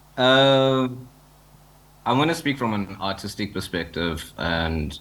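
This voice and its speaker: A man's speech shows ordinary pitch variation and carries audible room echo. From Zimbabwe. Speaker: digital artist and NFT community founder. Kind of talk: panel discussion. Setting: joining a conference panel online. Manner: fast.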